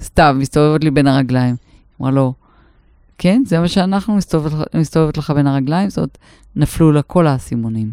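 A woman with a very deep, low pitch speaks at a fairly quick pace with ordinary pitch variation, very even loudness and long, frequent pauses, in a dry, close sound with no echo. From northern Israel. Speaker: podcast co-host. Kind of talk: casual chat.

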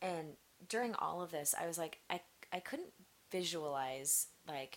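Over a very clean recording with a silent background, a woman speaks in an American accent. Her voice is fairly low in pitch, with ordinary pitch variation at a fairly slow pace. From US Midwest, Nebraska. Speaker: church member, mother. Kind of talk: casual interview chat. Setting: studio with headphones.

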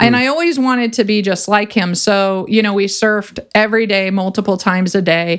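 A woman with an American accent speaks in a plain, everyday voice at medium pitch, at a fairly quick pace with hardly any pauses. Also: ordinary pitch variation. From California. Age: 50s. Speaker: clinical psychologist and coach. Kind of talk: interview conversation.

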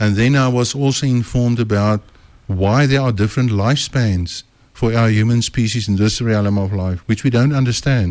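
A man talks at a moderate pace in an unremarkable speaking voice, medium in pitch with fairly even intonation. His loudness stays very even. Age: 60s. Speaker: author and speaker. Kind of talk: radio interview. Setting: radio studio.

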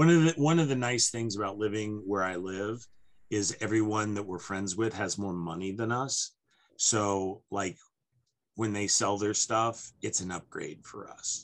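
The man talks at a fairly slow pace in a fairly low pitch, with ordinary pitch variation. He has a plain, everyday voice, and the background is quiet. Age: 50s. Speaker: podcast host. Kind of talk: casual chat.

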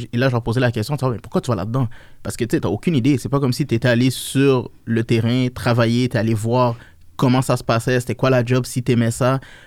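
The recording is very clean and the background silent. Words come at a fairly quick speed. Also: man, medium pitch for a man. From Niger, moved to Quebec around age 8. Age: 20s. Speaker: financial services entrepreneur. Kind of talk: interview, casual chat. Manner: animated.

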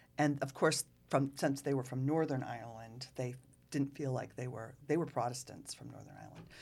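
A woman with a Massachusetts accent speaks at a fairly quick pace in a very deep, low pitch, with fairly even intonation. Her loudness swings widely in a very clean recording with a silent background. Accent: New England (Massachusetts). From Rockport, Massachusetts. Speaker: local historian. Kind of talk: casual chat.

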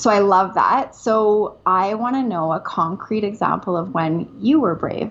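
A woman with a medium pitch speaks at a fairly slow pace, with hardly any pauses and ordinary pitch variation. Noticeable background noise is present. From Canada; Calgary, Alberta. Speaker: therapist and church founder. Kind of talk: casual interview chat. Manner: animated, funny.

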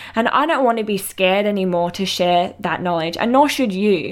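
A woman speaks at medium pitch with ordinary pitch variation. The recording is very clean, with a silent background. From Western Australia, coastal town south of Perth. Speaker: chiropractor and podcast host. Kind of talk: personal storytelling monologue.

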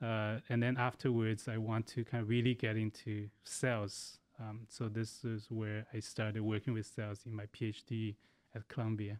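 With a Chinese accent, a man speaks at a moderate pace and medium pitch in a monotone, flat intonation, the sound dry and close with no echo. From China. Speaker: biomedical engineering professor. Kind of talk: casual interview. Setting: studio. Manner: halting.

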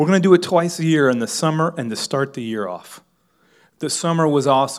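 Fairly quick and with an American accent, a man has an unremarkable speaking voice with ordinary pitch variation. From Miami, US. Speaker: pastor. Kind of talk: sermon. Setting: church with congregation. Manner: filler-heavy, repeats words.

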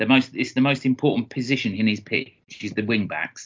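With a southeast English accent, a man speaks very fast at a medium pitch, his pitch varying in an ordinary way. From Kent, southeast England. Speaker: football podcast co-host. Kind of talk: casual chat. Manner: animated.

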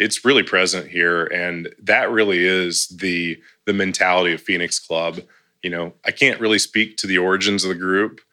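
On a very clean recording with a silent background, a man with a very deep, low pitch and a bright, sharp tone speaks at a moderate pace with fairly even intonation. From Tennessee. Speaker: real estate consultant and nonprofit board member. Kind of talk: casual interview.

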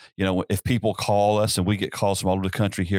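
Speaking at a very fast pace in a Southern US accent, a man with a very deep, low pitch talks in a monotone, flat intonation, the sound dry and close with no echo on a very clean recording with a silent background. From US South, upstate South Carolina. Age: 50s. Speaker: pastor. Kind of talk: casual interview.

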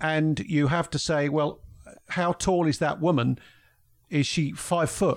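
At a fairly slow pace with long, frequent pauses, a man with a London accent speaks at a fairly high pitch, his loudness very even and his intonation fairly even, on a very clean recording with a silent background. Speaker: former police detective, podcaster. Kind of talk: casual chat. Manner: halting, many fillers.

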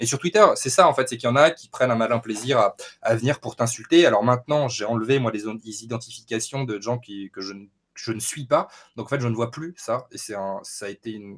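A man with a normal speaking voice and medium pitch talks at a fairly quick pace. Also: ordinary pitch variation. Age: 20s. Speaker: gaming YouTuber and Twitch streamer. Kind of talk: casual interview.

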